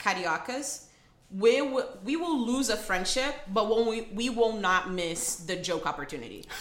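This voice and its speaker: With music playing behind her, a woman with a fairly high pitch talks at a moderate pace with lively intonation. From Rio de Janeiro, Brazil. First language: Portuguese. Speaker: attorney. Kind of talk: casual interview chat.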